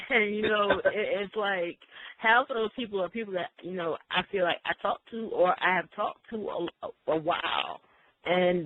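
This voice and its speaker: In a Southern US accent, the words come at a moderate pace. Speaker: radio host. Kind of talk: interview.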